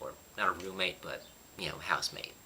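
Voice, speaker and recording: There is noticeable noise in the background as a man talks. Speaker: YouTuber. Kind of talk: casual vlog talk. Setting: apartment. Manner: quiet, lowered voice.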